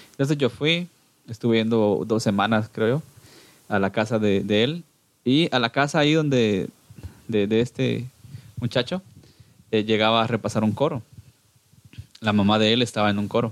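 A man with a Guatemalan accent speaks at medium pitch and a moderate pace, with ordinary pitch variation. His loudness stays very even, broken by long, frequent pauses. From Guatemala, Cuilapa, Santa Rosa. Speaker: church music group singer. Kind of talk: casual interview.

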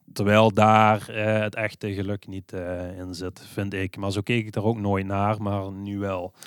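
A man's fairly low, monotone voice with flat intonation, at a fairly slow pace with hardly any pauses, in a very clean recording with a silent background. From Netherlands, Limburg (Swalmen). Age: 30s. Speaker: bicycle repair shop owner. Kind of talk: interview. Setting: on location at his shop. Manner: hesitant, many filler sounds.

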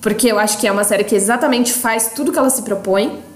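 A woman's fairly high voice, fairly even in intonation, comes with audible room echo and noticeable background noise. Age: 20s. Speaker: podcast co-host, content producer. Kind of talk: casual chat.

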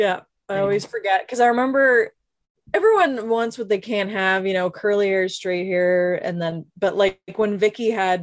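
A woman with an ordinary speaking voice, medium in pitch and fairly even in intonation. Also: moderate pace. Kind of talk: casual chat.

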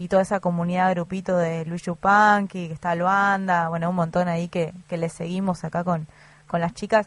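Against a quiet background, a woman with a fairly low pitch talks at a moderate pace, somewhat breathy and in a monotone, flat intonation. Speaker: community radio host. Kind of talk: casual radio chat. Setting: radio studio.

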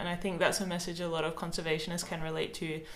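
In an Australian accent, a woman with a fairly low pitch and vocal fry talks at a fairly quick pace, with audible room echo. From South Australia. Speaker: podcast host and author. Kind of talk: casual chat.

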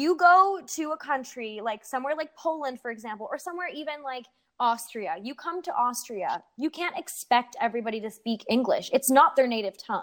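With a Canadian accent, a woman speaks in a high pitch at a fairly quick pace. Her pitch swings very widely, with hardly any pauses. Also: big swings in loudness. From Canada. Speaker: student abroad and performer. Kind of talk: casual chat. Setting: long-distance online call. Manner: fast talker.

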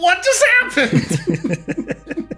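Music plays in the background behind a put-on character voice. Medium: actual play. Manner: complaining.

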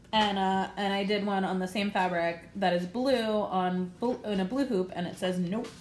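Audible room echo surrounds a woman with an American accent who speaks with hardly any pauses. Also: medium pitch for a woman, fairly even intonation, moderate pace. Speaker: podcast host, embroidery artist. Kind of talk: casual chat.

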